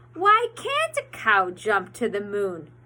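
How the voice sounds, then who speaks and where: A woman in a put-on character voice at a fairly slow pace. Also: medium pitch for a woman. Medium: read story. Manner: confident, plucky.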